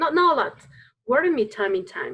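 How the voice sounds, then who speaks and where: Very wide pitch swings run through this voice with a Spanish accent. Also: woman. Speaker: dance teacher. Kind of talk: casual chat. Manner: halting.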